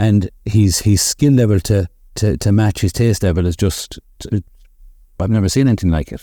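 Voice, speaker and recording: A man with a Limerick accent speaks in a dark, mellow tone, his pitch fairly low. His pitch varies in an ordinary way on a very clean recording with a silent background. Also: moderate pace. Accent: Limerick Irish. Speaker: barbershop owner. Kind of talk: casual chat.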